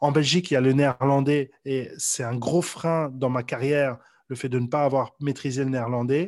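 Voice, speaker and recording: A man speaks with fairly even intonation at moderate speed. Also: medium pitch for a man. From Belgium, Brussels. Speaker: sales coach. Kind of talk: casual interview. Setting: at home, remote interview. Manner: halting, many repetitions.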